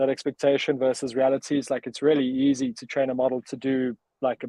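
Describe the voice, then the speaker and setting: A man's medium-pitched voice in a South African accent, monotone and flat in intonation, at a fairly quick pace. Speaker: startup cofounder. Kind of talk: interview. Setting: live video stream.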